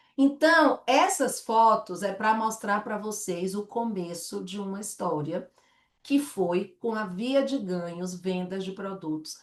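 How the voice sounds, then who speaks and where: A woman talks in a Bahian accent at a medium pitch. Her pace is very slow and her intonation lively. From Salvador, Bahia, Brazil. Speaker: direct sales director. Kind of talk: sales presentation. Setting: online presentation with slides and chat.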